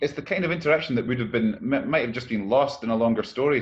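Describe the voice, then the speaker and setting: At a fairly quick pace, a man talks with a Scottish accent and ordinary pitch variation. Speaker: novelist, poet, primary school teacher. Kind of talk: interview answer.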